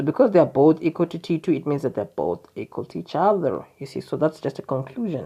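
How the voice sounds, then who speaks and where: A woman with a very deep, low pitch talks at a very fast pace with hardly any pauses, an animated tone and lively intonation. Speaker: maths tutor. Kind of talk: tutorial.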